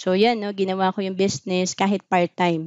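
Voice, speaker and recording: A woman is speaking against a quiet background. The sound is dry with no echo. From Philippines. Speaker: financial advisor and vlogger; vlogger. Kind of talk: talk on personal finance. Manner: casual conversational, frequent fillers. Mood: calm, explanatory. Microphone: webcam.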